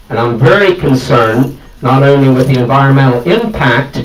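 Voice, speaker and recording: Medium pitch from a man, with ordinary pitch variation at a moderate pace, plus noticeable background noise and audible room echo. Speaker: farmer, audience member. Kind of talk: public meeting question. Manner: loud.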